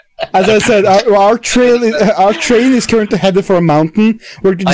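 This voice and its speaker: A strong Norwegian accent over noticeable background noise. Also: moderate pace. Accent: thick Norwegian. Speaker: gamer playing with friends. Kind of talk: casual, profane.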